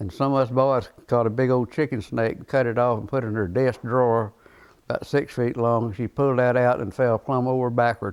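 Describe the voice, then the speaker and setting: At a fairly quick pace, a man with a Central Texas accent speaks at a medium pitch with fairly even intonation. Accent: Central Texas rural. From Texas, Dripping Springs. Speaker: oral history interviewee. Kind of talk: oral history interview.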